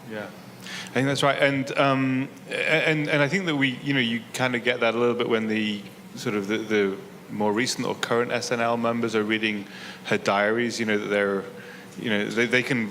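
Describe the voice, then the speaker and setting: Over noticeable background noise and audible room echo, a man speaks fairly quickly at a medium pitch with ordinary pitch variation. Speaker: interviewer. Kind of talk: onstage interview. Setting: stage with audience. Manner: halting.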